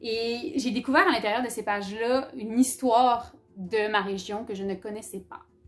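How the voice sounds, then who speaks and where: A woman's fairly high voice at a moderate pace, with ordinary pitch variation and big swings in loudness, amid noticeable background noise. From Quebec, Abitibi-Témiscamingue (Rouyn-Noranda). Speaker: book YouTuber. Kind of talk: casual vlog talk. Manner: casual, many hesitations.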